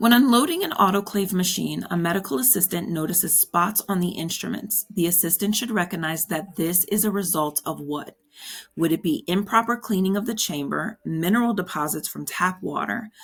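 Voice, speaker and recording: Somewhat breathy, a woman talks at a fairly quick pace in a medium pitch with ordinary pitch variation. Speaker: exam prep instructor. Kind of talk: tutorial. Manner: casual, encouraging.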